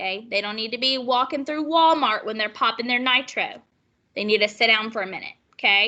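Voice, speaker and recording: A woman at a fairly high pitch, with ordinary pitch variation and a fairly quick pace. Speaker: nursing instructor. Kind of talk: lecture. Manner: animated.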